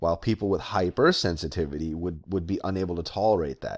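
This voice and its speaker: The speech is at a fairly quick pace against a quiet background. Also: man. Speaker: presenter. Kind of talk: presentation. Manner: informal academic tone.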